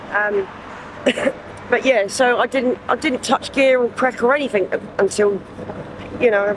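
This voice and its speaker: A woman's moderately paced speech in a southern English accent with fairly even intonation over noticeable background noise. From southern England, Southampton. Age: 40s. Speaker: homeless person. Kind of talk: street interview. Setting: outdoors on the street. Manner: halting, many fillers.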